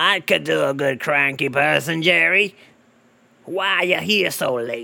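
A man uses a put-on character voice at a moderate pace, his pitch fairly high. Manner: cranky, irritable.

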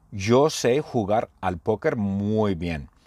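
Lively intonation marks a man's fairly low-pitched voice, recorded with a dry, close sound and no echo. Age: 50s. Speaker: Spanish teacher. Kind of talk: language lesson monologue. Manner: slow; repetitive.

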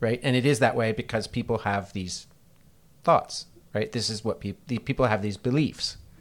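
Talking at a moderate pace, a man uses an unremarkable speaking voice with a medium pitch and ordinary pitch variation. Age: 50s. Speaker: university teacher. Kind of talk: casual chat. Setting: office.

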